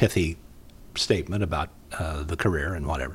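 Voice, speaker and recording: A man with an American accent, a somewhat breathy voice, ordinary pitch variation, and a moderate pace. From Indiana, Muncie. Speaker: retired broadcaster and storyteller. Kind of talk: casual interview chat.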